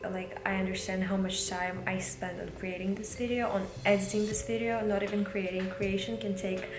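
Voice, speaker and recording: A woman with a Russian accent speaks at medium pitch and a moderate pace with ordinary pitch variation, her voice carrying audible room echo over noticeable background noise. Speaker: vlogger. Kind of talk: casual vlog talk. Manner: halting.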